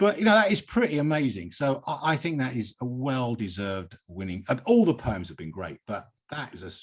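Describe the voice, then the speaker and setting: Delivered at a fairly quick pace in an English accent, the speech has very wide pitch swings. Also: man. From England. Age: 70s. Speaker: poet and poetry reading host. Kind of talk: hosted poetry reading with commentary.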